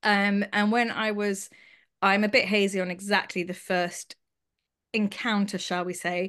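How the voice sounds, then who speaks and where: A woman speaks in a London accent at a medium pitch, her intonation monotone and flat. The background is quiet. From London, England (Haredi community). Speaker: abuse survivor and charity founder. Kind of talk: testimony.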